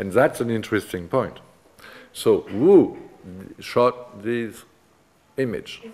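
The speaker has a French accent. He is a man. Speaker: art history professor. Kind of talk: lecture. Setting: seminar room with students. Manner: halting, hesitant with fillers. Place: classroom.

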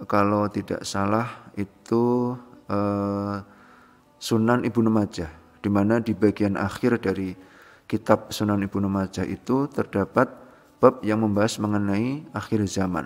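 Speaking at a fairly slow pace, a man keeps a fairly low pitch and fairly even intonation. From Solo, Central Java, Indonesia; Central Java, Indonesia. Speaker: religious testimonial speaker; speaker. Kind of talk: testimony. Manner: halting, with frequent fillers. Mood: calm, earnest. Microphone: phone near.

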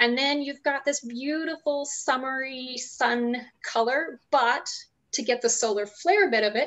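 This woman has a high pitch. She talks at a moderate pace. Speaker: host making a cocktail. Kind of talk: tutorial. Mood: cheerful, playful. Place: kitchen. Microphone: video call.

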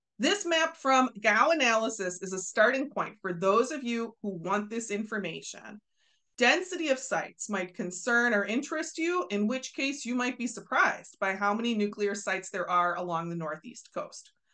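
The voice has a bright, sharp tone, an American accent and very wide pitch swings. It moves at a moderate pace with hardly any pauses over a quiet background. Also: woman, fairly high pitch for a woman. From US Midwest. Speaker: science educator. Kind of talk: video explainer. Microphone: webcam.

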